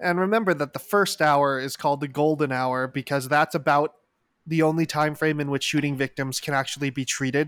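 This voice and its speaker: In a very clean recording with a silent background, a man with a plain, everyday voice talks at a fairly quick pace, his pitch fairly high and his intonation fairly even. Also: dry, close sound with no echo. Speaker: podcast host. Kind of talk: casual chat about a news event.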